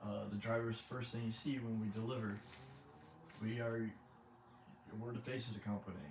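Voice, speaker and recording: Audible room echo surrounds a man of medium pitch talking at a fairly quick pace. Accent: American. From Michigan, US. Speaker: gaming YouTuber, truck driver. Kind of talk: gameplay commentary. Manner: halting, awkward pauses.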